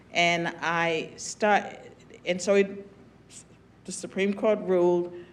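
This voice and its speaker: A woman with an American accent at a very slow pace and fairly low pitch, over noticeable background noise. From US South, southwestern Virginia. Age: 70s. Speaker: former political science professor and commentator. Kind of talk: panel discussion.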